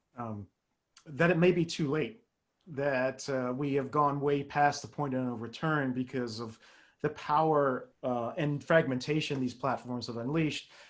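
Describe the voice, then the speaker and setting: Speaking fairly slowly with a British accent, this man has a fairly high pitch and a fairly even intonation. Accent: British-tinged. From Canada. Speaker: media expert panelist. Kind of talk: panel discussion.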